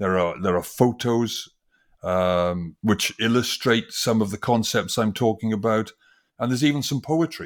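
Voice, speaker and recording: A man with a Welsh accent speaks at a moderate pace in a medium pitch, using ordinary pitch variation. The recording is very clean, with a silent background. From Wales, industrial valleys. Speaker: design professor and author. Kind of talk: interview. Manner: halting, many fillers.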